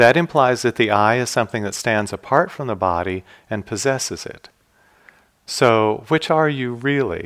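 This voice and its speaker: At a moderate pace, a man speaks at medium pitch in an ordinary speaking voice. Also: ordinary pitch variation. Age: 60s. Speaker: meditation teacher. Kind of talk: dharma talk. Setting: meditation hall at retreat.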